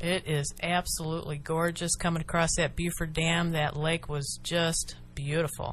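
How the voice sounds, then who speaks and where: This woman's somewhat breathy voice sits fairly low, with monotone, flat intonation, very even loudness, a moderate pace and hardly any pauses. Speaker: radio show host. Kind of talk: radio talk show hosting. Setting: studio.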